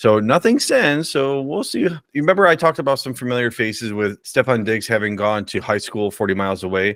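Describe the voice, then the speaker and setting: The recording is very clean, the background silent, as a man speaks with a plain, everyday voice at a medium pitch. He goes at a fairly quick pace with hardly any pauses and lively intonation. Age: 40s. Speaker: sports podcast co-host. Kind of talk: casual chat.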